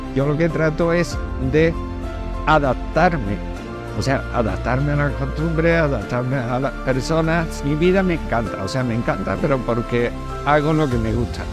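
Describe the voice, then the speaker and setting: Clear music plays in the background as a man speaks, his voice dry with no echo. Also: moderate pace. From Andalusia, Spain. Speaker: painter. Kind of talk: interview answer. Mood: warm, grateful. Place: street. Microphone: lapel.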